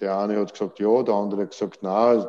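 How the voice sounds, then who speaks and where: This man has a dark, mellow tone and a fairly low pitch. He keeps a moderate pace with fairly even intonation. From Austria, Vienna. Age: 60s. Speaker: football coach. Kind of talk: interview. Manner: halting.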